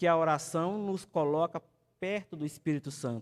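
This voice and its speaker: Keeping a fairly even intonation, a man with a fairly high pitch speaks at a moderate pace. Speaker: evangelist teaching Sunday school. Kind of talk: sermon-style Bible lesson. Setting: church with live stream.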